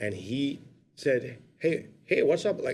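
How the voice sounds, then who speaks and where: A man with a strong Brooklyn accent, a fairly high pitch, vocal fry and lively intonation. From Brooklyn, New York. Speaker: actor. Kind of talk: podcast interview, casual chat. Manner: animated storytelling.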